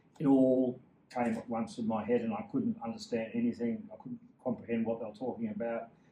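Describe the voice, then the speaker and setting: With an Australian accent, a man talks fairly quickly in a dark, mellow tone. His medium pitch swings very widely. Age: 60s. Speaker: endurance cyclist. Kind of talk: interview.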